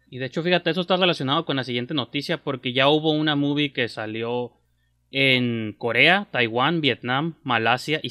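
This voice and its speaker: Against a quiet background, a man talks at a moderate pace in a bright, sharp tone with ordinary pitch variation. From Mexico. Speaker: film podcast host. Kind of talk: casual chat. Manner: animated. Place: kitchen. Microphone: earbuds.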